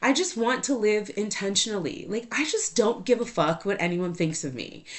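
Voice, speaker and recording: A loud, animated voice at a moderate pace with very wide pitch swings. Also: woman, fairly high pitch for a woman. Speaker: podcast host. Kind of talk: casual monologue.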